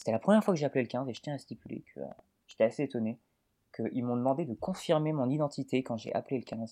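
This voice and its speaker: Over a quiet background, a man talks very fast in a dark, mellow tone with ordinary pitch variation and a dry, close sound with no echo. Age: 20s. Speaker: Twitter personality. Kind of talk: casual chat.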